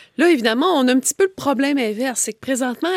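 The sound is dry and close, with no echo. A woman speaks with a high pitch and lively intonation. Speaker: political commentator. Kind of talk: panel discussion.

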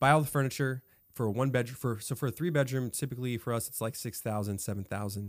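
A man with an American accent at a very fast pace, medium in pitch with ordinary pitch variation, on a very clean recording with a silent background. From California. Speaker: Airbnb business owner. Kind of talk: casual interview.

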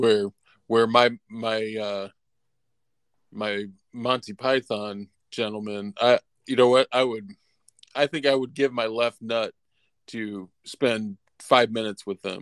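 Speaking with a US Midwestern accent at medium pitch, a man goes at a very slow pace with long, frequent pauses and fairly even intonation. The sound is dry and close, with no echo. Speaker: film podcast co-host. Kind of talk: casual chat.

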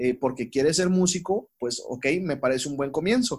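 A man speaks at a fairly slow pace. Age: 20s. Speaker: psychologist. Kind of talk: casual chat. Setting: remote call.

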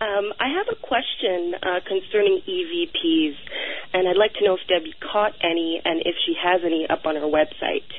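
This woman uses a normal speaking voice and a medium pitch. She moves at a moderate pace with ordinary pitch variation. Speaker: caller. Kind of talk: radio call-in. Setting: phone call.

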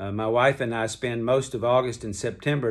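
In a very clean recording with a silent background, a man with a Southern US accent speaks in a relaxed tone at medium pitch and a moderate pace, his intonation fairly even. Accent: Southern American. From US South, Kentucky. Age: 70s. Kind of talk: devotional talk. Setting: hotel room. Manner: relaxed conversational.

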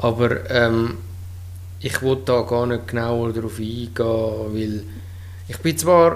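Very slow speech with audible room echo. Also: man. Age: 30s. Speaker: podcast co-host, streamer. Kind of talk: casual chat. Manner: halting.

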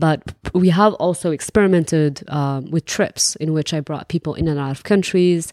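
With a Moroccan accent, a woman speaks in a dark, mellow tone at a fairly low pitch with ordinary variation, in a very clean recording with a silent background. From Morocco. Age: 20s. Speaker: entrepreneur and traveler. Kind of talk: interview conversation.

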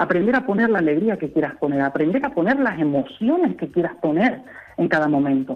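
A man speaks at a fairly quick pace in a high pitch, with very wide pitch swings. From Canary Islands. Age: 20s. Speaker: translator and interpreter. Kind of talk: interview.

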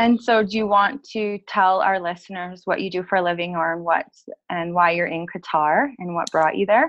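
Speaking with an Albertan accent, a woman talks at a moderate pace. Her pitch is medium, with ordinary pitch variation. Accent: Canadian (Alberta). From northern Alberta, Canada. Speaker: podcast co-host. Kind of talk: casual interview. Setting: call.

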